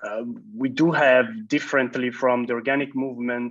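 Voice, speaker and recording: A man speaks at a moderate pace. His intonation stays monotone and flat. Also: quiet background. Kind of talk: conference talk. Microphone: earbuds.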